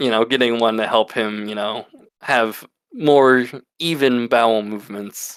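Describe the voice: A quiet background behind plain reading aloud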